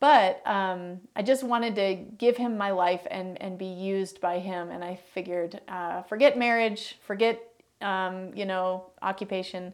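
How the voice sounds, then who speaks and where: A woman with an American accent in a normal speaking voice, medium-pitched, fairly slow with hardly any pauses, fairly even intonation and big swings in loudness. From US Midwest, Chicago northern suburbs. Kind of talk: testimony interview.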